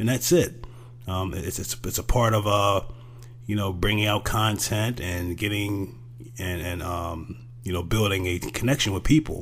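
Using vocal fry and lively intonation, a man talks at a fairly low pitch and a fairly slow pace. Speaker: podcast host. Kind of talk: monologue commentary.

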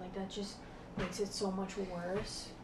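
Over noticeable background noise and audible room echo, a woman with an American accent speaks at medium pitch in a monotone, flat intonation. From New Jersey. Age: college freshman. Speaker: college student. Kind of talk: casual chat.

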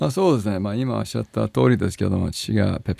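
A man talks at a very fast pace with a fairly low pitch and lively intonation. The sound is dry and close, with no echo. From Hawaii, then American school in Japan. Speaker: business executive. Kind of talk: radio interview. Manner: frequent laughter.

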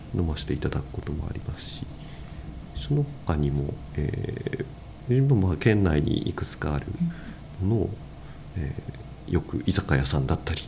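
A man with a very deep, low pitch speaks at a moderate pace. His intonation is lively, and he takes long, frequent pauses. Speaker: construction company president. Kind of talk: interview. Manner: hesitant, many fillers.

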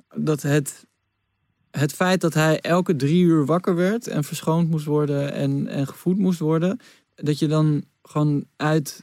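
A man with a normal speaking voice talks at a fairly slow pace and fairly high pitch, his intonation fairly even, in a very clean recording with a silent background. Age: 30s. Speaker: podcast host. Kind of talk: casual chat.

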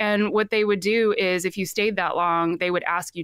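A woman speaks at a moderate pace and medium pitch with ordinary pitch variation. The recording is very clean, dry and close, with a silent background and no echo. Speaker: ex-cult member telling her story. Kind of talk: casual storytelling interview. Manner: animated, laughs often.

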